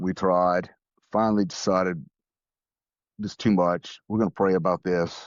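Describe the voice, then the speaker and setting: Speaking at a moderate pace, a man with a Louisiana accent has a very deep, low pitch. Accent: Louisiana Southern US. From US South, New Orleans. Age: 60s. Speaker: grieving widower, veterinarian and flight paramedic. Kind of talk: podcast interview. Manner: halting, repeats words.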